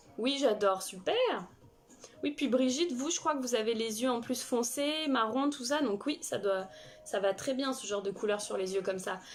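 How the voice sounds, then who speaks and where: A woman speaks at a moderate pace. Her high pitch carries lively intonation. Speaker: makeup artist and live streamer. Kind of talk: makeup tutorial live stream. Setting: live stream with viewers chatting. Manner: halting.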